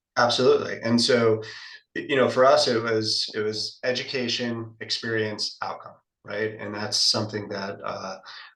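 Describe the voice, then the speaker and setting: Audible room echo hangs around this recording. The man in it talks at a moderate tempo. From US South, Florida (Boca Raton). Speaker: wellness business co-founder. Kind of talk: interview conversation. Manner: halting with repetitions.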